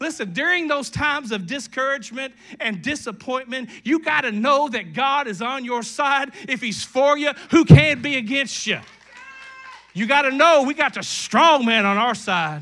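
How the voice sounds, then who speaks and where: A man with an extremely high pitch, a raised, projected voice, lively intonation, and a moderate pace, plus noticeable background noise. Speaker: pastor. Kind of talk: sermon. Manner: animated.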